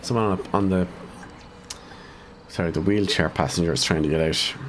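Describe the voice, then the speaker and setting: With an Irish accent, a man speaks fairly quickly at a very deep, low pitch and with fairly even intonation, against noticeable background noise. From Ireland, County Cavan. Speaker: gaming streamer. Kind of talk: live gameplay commentary. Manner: casual, thinking aloud.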